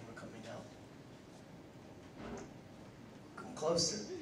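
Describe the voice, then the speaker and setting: A man's voice over noticeable background noise. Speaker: slam poet. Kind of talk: casual talk to live audience.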